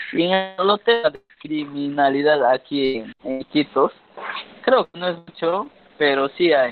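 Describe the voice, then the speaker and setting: Music plays behind a man speaking very slowly in a fairly high voice, with ordinary pitch variation. His loudness swings widely. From Peruvian Amazon, Ucayali. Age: 20s. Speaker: university student and cultural content creator. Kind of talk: casual interview.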